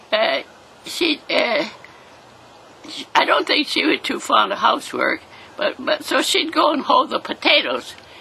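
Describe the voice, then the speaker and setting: The pace is fairly slow, with long, frequent pauses and lively intonation. Noticeable background noise is present. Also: woman, high pitch for a woman. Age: 80s+. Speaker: centenarian interviewee. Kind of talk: casual chat. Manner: halting.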